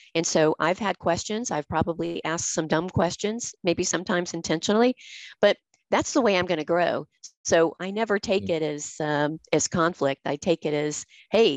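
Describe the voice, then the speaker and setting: A woman with an unremarkable speaking voice and an American accent speaks at a moderate pace and fairly low pitch, with ordinary pitch variation, a dry, close sound with no echo and a quiet background. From US South. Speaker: podcast host. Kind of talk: casual chat.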